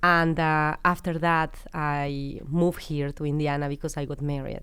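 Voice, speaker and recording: With a Mexican accent, a woman speaks at a moderate pace in a very deep, low pitch and monotone, flat intonation. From Mexico (Querétaro). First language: Spanish. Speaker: business founder. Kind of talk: interview.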